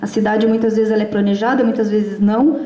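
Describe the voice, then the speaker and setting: A woman with a fairly high pitch is heard through audible room echo and noticeable background noise. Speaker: researcher and conference speaker. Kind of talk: conference talk. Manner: fast; halting, many fillers.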